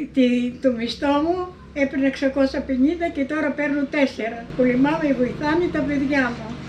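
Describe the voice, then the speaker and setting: Noticeable background noise runs behind a woman speaking at a fairly slow pace. Her pitch is high, with ordinary pitch variation. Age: 80s+. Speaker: elderly villager. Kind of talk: interview.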